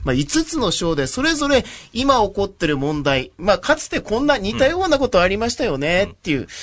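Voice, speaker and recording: A high-pitched man talks rather quickly, his voice swinging very widely in pitch. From Japan, Yamaguchi Prefecture. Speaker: radio host. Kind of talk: radio interview. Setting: radio studio.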